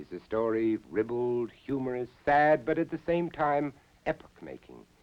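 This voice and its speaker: A man with an unremarkable speaking voice at medium pitch, his intonation lively. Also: moderate pace. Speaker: actor, TV documentary host. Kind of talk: TV host introduction.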